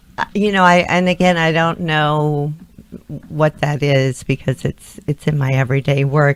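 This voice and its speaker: A woman's very deep, low voice at a fairly slow pace, fairly even in intonation, with a dry, close sound and no echo. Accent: American. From Texas (Clear Lake, Houston area). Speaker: modeling and acting agency owner. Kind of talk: talk show interview.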